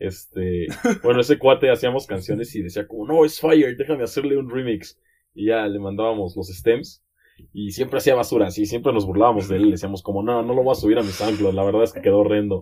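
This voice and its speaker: Speaking at a very fast pace, a man with a fairly low pitch and a dark, mellow tone shows ordinary pitch variation. The recording is very clean, with a silent background. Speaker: podcast guest, electronic music fan. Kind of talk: casual chat.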